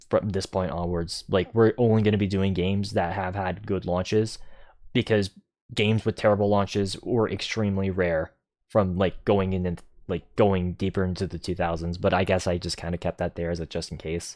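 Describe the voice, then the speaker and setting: A man's very deep, low voice at a fairly quick pace, with fairly even intonation over a quiet background. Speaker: gaming streamer. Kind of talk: livestream commentary. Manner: casual, many fillers.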